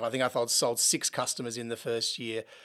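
A man with an Australian accent speaks at a very fast pace. The recording is very clean, with a silent background. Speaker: software company founder and CEO. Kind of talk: interview.

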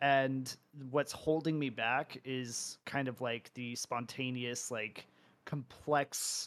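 A man's very slow delivery in a monotone, flat intonation. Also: medium pitch for a man. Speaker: esports caster and host. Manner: casual, rambling.

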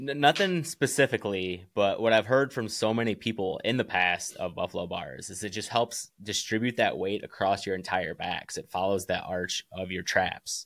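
A man with an American accent talks in an unremarkable speaking voice at a fairly low pitch and moderate pace, with ordinary pitch variation. He leaves hardly any pauses, and the recording is very clean with a silent background. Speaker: barbell company founder and firefighter. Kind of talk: casual interview chat.

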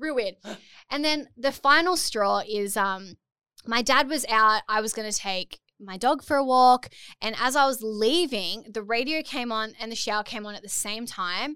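In an Australian accent, a woman speaks at a moderate pace with a fairly high pitch and a bright, sharp tone. Her loudness swings a lot, and the recording is very clean with a silent background. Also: ordinary pitch variation. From Port Macquarie, Australia. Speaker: bikini brand founder and influencer. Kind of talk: casual interview chat. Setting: studio. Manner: humorous, laughs often.

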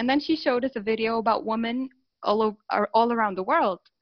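A woman's fairly high-pitched, unremarkable speaking voice. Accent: American. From Saudi Arabia, raised in the US from age 5 to 18. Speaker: life coach. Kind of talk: interview.

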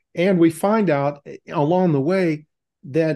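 In an American accent, a dark, mellow tone comes through over a quiet background. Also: man. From Texas. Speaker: retired veterinarian. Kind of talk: casual conversation. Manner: halting, stutters with blocks.

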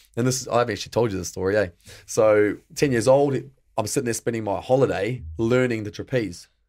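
On a very clean recording with a silent background, a man with an Australian accent speaks at a very fast pace, at medium pitch with ordinary pitch variation. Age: 30s. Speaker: male stripper and actor. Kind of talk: casual interview chat.

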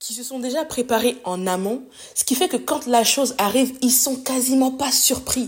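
A woman's high-pitched voice, fairly slow in pace, with ordinary pitch variation. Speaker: podcast host. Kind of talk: solo motivational monologue. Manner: spontaneous, unscripted.

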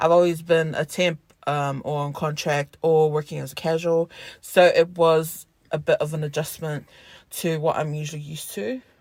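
The voice carries a New Zealand accent. The recording is very clean, with a silent background. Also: moderate pace. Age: 20s. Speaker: podcast co-host. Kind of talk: casual chat. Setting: in a car.

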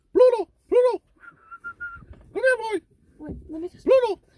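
A squeaky, put-on character voice at an extremely high pitch

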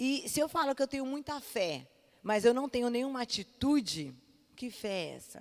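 A woman is speaking. Her pace is fairly slow. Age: 30s. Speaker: pastor. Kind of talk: sermon.

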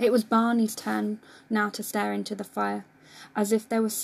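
The clip is read in an unforced reading voice.

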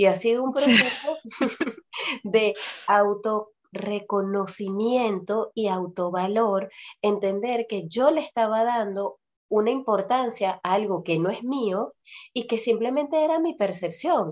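At a fairly slow pace, a woman with an ordinary speaking voice talks at a fairly high pitch, with ordinary pitch variation. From Venezuela. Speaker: podcast host and nutrition coach. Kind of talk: casual chat.

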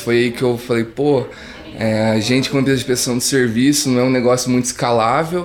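With a rural São Paulo accent, a man talks at a medium pitch. His intonation stays fairly even over noticeable background noise. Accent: São Paulo countryside (caipira). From interior of São Paulo state, Brazil. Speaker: startup founder. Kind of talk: interview.

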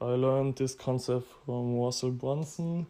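With a dark, mellow tone, a man of medium pitch speaks at a fairly slow pace with ordinary pitch variation. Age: 20s. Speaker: podcast host, e-commerce entrepreneur. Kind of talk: solo monologue podcast. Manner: casual with frequent fillers.

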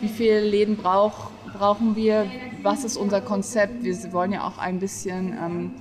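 A woman talks at a medium pitch and a fairly slow pace. Her intonation is flat and monotone, with noticeable background noise. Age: 30s. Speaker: café owner. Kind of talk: interview.

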